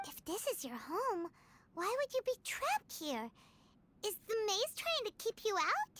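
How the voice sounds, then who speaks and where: The speaker uses a put-on character voice of extremely high pitch. The pace is moderate. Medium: video game. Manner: polite, formal.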